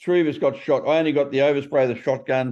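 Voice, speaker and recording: Man with a strong Australian accent, a dark, mellow tone, ordinary pitch variation and a very fast pace. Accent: broad Australian. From Australia (Melbourne, Sydney). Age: 60s. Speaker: ex-prisoner author. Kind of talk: interview. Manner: casual, conversational.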